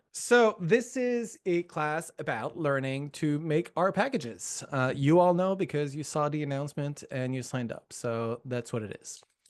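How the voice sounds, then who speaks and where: Using a Quebec accent, a man talks at a moderate pace and fairly high pitch with hardly any pauses and very wide pitch swings. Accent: Quebecois. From Quebec, Montreal. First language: French. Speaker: professor. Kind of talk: lecture. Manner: many filler words.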